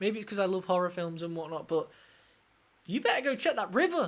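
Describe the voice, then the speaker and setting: With a southern English accent, the speaker goes at a very fast pace with very wide pitch swings. The tone is animated, bright and sharp. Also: woman. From southern England. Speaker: music reaction YouTuber, guitarist. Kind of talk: music reaction commentary.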